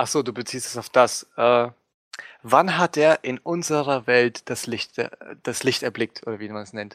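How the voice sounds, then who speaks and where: Recorded dry and close with no echo, a man with a plain, everyday voice speaks at medium pitch and a fairly slow pace, with ordinary pitch variation and big swings in loudness. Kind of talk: casual chat.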